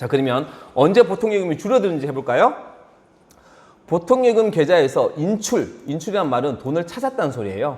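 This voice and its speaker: A man's high voice at a fairly quick pace, with very wide pitch swings. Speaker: high school accounting teacher. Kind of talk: lecture. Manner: fast.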